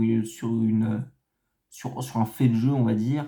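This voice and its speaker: The tone is dark and mellow. Delivery is very slow, with monotone, flat intonation. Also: man. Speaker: football commentator youtuber. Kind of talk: casual video analysis monologue. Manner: halting, many hesitations.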